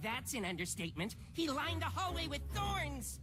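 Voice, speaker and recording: A cartoonish character voice talks at a moderate pace over loud background noise. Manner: nervous.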